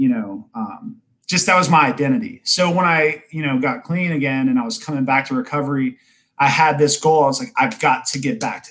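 Lively in intonation, a man with an American accent speaks in an ordinary speaking voice at a fairly high pitch. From US South, Georgia (Kennesaw, near Atlanta). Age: 30s. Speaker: person in addiction recovery, recovery worker, parent. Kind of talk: casual chat. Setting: remote call from home, Facebook Live.

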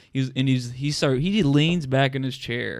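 A man speaks with a Southern US accent in a medium pitch. The recording is very clean, with a silent background. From northern Alabama (New Market). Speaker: stand-up comedian. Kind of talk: casual chat.

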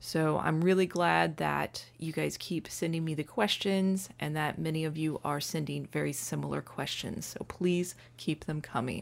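A woman talks at a moderate pace. She hardly pauses. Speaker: painting teacher podcaster. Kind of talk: solo podcast talk, conversational. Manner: friendly, conversational, some filler words.

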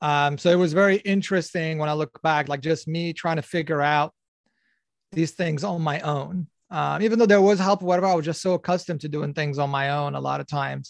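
Against a quiet background, a man with a slight non-native accent speaks. His pitch is fairly high, and his intonation fairly even. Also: dry, close sound with no echo. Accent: slightly foreign-accented American English. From Algeria. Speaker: Islamic life coach and scientist. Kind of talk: casual interview.

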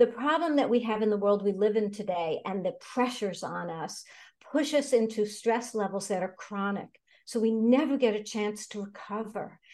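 A woman with an American accent speaks at a moderate pace against a quiet background. Her pitch is fairly high, with ordinary variation. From New York City. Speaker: personal development coach. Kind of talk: interview.

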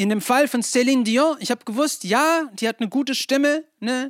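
A man speaks at a moderate pace. The recording is very clean and dry, with a silent background and a close sound with no echo. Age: 40s. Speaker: pastor. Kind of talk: sermon. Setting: church with congregation. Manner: hesitant with many filler sounds.

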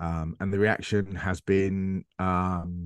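This man has a very deep, low voice and an English accent. His pitch varies in an ordinary way against a quiet background. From England. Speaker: football media presenter and analyst. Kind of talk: casual interview chat.

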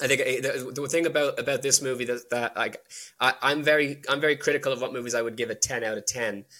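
In an Irish accent, a man talks very fast with a bright, sharp tone, medium pitch and fairly even intonation. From Ireland. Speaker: indie film director. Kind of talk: casual analytical discussion of a film.

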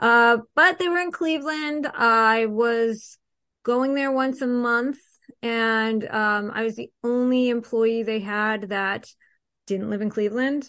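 A woman with a bright, sharp tone and a fairly high pitch talks at a fairly slow pace with ordinary pitch variation against a quiet background. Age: 40s. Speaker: investment consultant. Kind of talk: casual interview.

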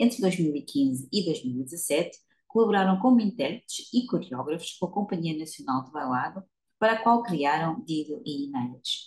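The voice swings very widely in pitch and sounds somewhat breathy. Its pace is moderate. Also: woman, fairly low pitch for a woman. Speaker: podcast interviewer. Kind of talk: interview.

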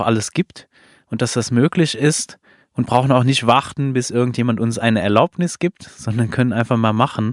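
A man with a non-native accent speaks at a moderate pace and medium pitch, in a dry, close sound with no echo, on a very clean recording with a silent background. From outside Germany. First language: not German (speaking German). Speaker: podcast host. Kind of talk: casual interview conversation. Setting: recorded in a trailer at an event venue.

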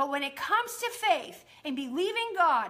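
A woman with an extremely high-pitched voice and a bright, sharp tone speaks at a fairly slow pace in an animated, enthusiastic way. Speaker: podcast host and prayer teacher. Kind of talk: charismatic Bible teaching and fervent exhortation to believe. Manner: emphatic, insistent repetition building preacher-like momentum.

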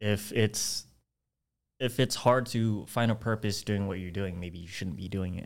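Over a very clean recording with a silent background, a man with an ordinary speaking voice talks at a fairly slow pace, his fairly low pitch kept in fairly even intonation while his loudness swings widely. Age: 20s. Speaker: podcast co-host. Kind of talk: casual chat.

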